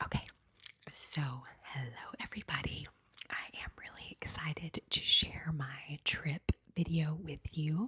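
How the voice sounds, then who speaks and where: A woman whispers at a fairly slow pace. Her speech has long, frequent pauses and big swings in loudness. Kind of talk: ASMR travel storytime. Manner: soft-spoken.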